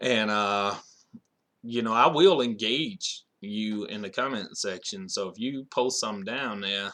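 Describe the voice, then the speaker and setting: A man with a bright, sharp tone and ordinary pitch variation at a fairly slow pace, on a very clean recording with a silent background. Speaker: YouTube commentator. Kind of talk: casual monologue.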